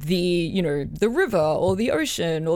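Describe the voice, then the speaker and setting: A woman with an Australian accent speaks at a moderate pace with lively intonation. Her fairly low voice carries vocal fry. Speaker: composer and amateur archaeologist. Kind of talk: casual chat. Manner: excitable.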